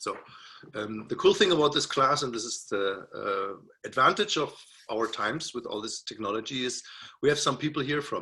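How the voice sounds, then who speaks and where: A man speaks at a moderate pace with a German accent. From Germany (Berlin). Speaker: music professor. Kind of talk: lecture. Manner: halting.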